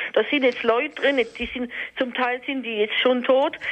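A woman speaks at a moderate pace in a high pitch, with noticeable background noise. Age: 50s. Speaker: caller. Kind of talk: testimony.

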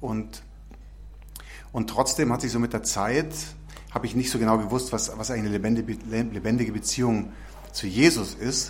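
Long, frequent pauses break up a man's speech, which otherwise keeps a moderate pace. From Munich and Tyrol. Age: 40s. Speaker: missionary. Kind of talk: testimony. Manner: halting.

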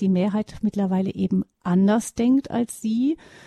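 A woman talks at a fairly slow pace with fairly even intonation and a fairly high pitch, her somewhat breathy voice dark and mellow in a dry, close recording with no echo. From West Germany. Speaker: radio host. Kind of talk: radio interview. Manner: formal.

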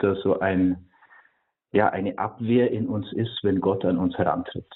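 Here a man speaks at a fairly low pitch. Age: 30s. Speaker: priest and monk. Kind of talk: radio interview on faith. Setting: remote call-in to radio. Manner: hesitant, with frequent filler sounds.

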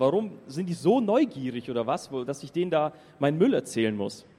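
This man has a dark, mellow tone and a fairly high pitch. His intonation is lively. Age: 20s. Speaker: youth pilgrim speaker. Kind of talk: testimony talk to audience. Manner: casual, lively.

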